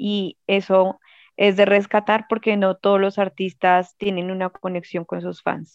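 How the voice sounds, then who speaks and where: Against a quiet background, the voice moves at a fairly slow pace with monotone, flat intonation in a dry, close sound with no echo. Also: woman. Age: 20s. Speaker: fan club leader. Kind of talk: casual interview.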